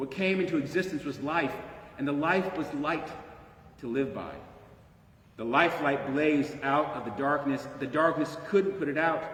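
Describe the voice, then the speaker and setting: Speaking at a fairly slow pace, a man with a fairly high pitch and ordinary pitch variation is heard over noticeable background noise. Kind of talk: scripture reading.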